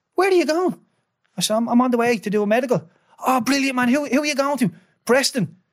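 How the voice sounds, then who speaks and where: Speaking in a Dublin accent, a man talks at a very fast pace with an extremely high pitch, lively intonation and long, frequent pauses. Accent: Irish, Dublin. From Ireland. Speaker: former professional footballer. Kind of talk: interview storytelling.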